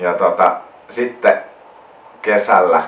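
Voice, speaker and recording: A man speaks with a South Karelian accent. Noticeable background noise can be heard. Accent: South Karelian Finnish dialect. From South Karelia, Finland (near Lappeenranta). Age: 20s. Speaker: wedding photographer, vlogger. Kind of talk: casual vlog monologue. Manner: hesitant, repeats words.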